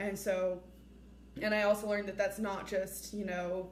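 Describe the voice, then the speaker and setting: A woman's voice amid noticeable background noise and audible room echo. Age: young. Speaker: former mock trial student. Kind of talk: interview testimony. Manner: loud.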